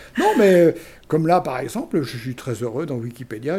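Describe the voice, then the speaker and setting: With a dark, mellow tone and a somewhat breathy quality, a man speaks at a moderate pace using ordinary pitch variation. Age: 70s. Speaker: retired engineering school director. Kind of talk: interview.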